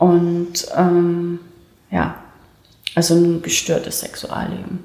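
Audible room echo and noticeable background noise accompany a woman talking very slowly. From Saxony (Leipzig), East Germany. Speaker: former gymnast, doping victim. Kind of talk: interview testimony. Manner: hesitant, many fillers.

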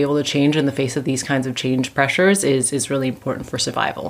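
A woman with a Canadian accent speaks at a very deep, low pitch. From Canada. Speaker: assistant professor of management. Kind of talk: interview.

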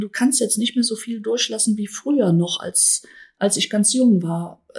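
Breathing a little into her words, a woman speaks fairly slowly at a fairly high pitch. Her pitch varies in an ordinary way. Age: 60s. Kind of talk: interview, explanatory.

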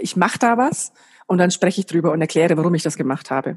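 A woman speaks at a very fast pace and a fairly low pitch. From Germany, Bayreuth (Upper Franconia). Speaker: business coach and trainer. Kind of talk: podcast interview. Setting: remote call.

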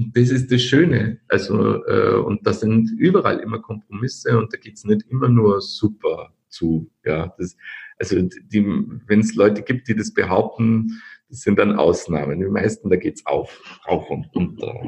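A man's voice at a fairly slow pace, with big swings in loudness. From Austria, Linz. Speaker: company founder. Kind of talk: podcast interview. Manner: halting, many repetitions.

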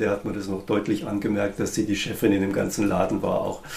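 Over noticeable background noise and audible room echo, a man speaks. His pace is very fast and his pitch fairly low. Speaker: musician. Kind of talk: interview.

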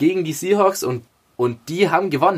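A man is talking. His pitch is high. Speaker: football podcast co-host. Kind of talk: casual sports chat.

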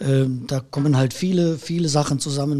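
Somewhat breathy, a man's fairly high voice carries a dark, mellow tone. His pace is moderate and his intonation fairly even. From Erkelenz, Heinsberg district, Rhineland, Germany. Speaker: musician, keyboard player and music school owner. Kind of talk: interview conversation.

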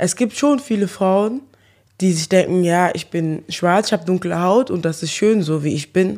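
A woman speaks at a moderate pace in a dark, mellow tone. The recording is very clean, with a silent background. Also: medium pitch for a woman, ordinary pitch variation. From Germany, Eschweiler near Aachen. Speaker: social media personality. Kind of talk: interview.

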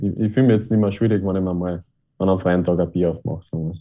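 A man with a very deep, low pitch and fairly even intonation. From Upper Austria, Linz. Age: 20s. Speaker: ice hockey player. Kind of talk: interview. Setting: video call. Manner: halting, many fillers.

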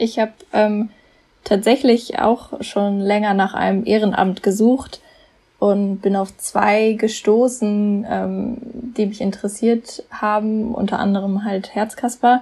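At a very slow pace, a woman with a fairly high pitch speaks in a monotone, flat intonation. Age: 20s. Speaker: podcast team member, volunteer. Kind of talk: casual chat. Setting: remote recording from home office.

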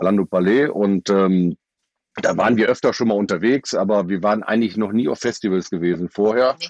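An unremarkable speaking voice from a man, fairly low in pitch and fairly quick, with ordinary pitch variation, very even loudness and a dry, close sound with no echo. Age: 50s. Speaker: festival-goer. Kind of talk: casual chat.

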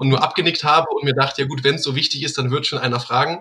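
A man talks with a fairly high pitch. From Rhineland, near Cologne, Germany. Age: 20s. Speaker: network marketing team leader. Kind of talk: interview.

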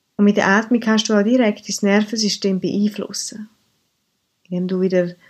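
This woman's voice sits at a medium pitch and stays monotone and flat. The recording is very clean with a silent background. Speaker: mindfulness coach. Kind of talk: podcast monologue; guided meditation.

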